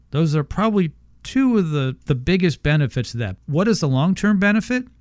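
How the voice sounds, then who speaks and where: With an American accent, a man has an unremarkable speaking voice, fairly high in pitch, with lively intonation at a moderate pace. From Houston, Texas. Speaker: radio host. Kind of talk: radio ad pitch, read-out promo with repeated phone numbers. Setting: studio. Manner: brisk, upbeat salesman delivery, repeats numbers twice.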